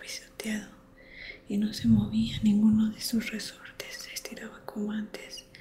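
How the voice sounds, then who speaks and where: Soft-spoken delivery amid noticeable background noise. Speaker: ASMR creator. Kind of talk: bedtime book reading.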